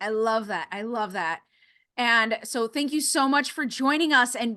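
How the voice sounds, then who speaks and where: A woman speaks in a raised, projected voice with an animated tone and lively intonation. Her tone is bright and sharp, and her pace is fairly slow. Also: quiet background. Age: 30s. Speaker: podcast host. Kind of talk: casual interview chat.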